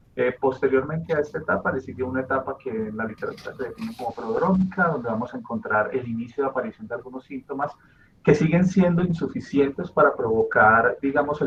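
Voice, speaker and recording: A man's fairly high voice at a very fast pace with lively intonation. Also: hardly any pauses. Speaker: doctoral student presenting a paper. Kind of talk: academic presentation. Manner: hesitant, many fillers.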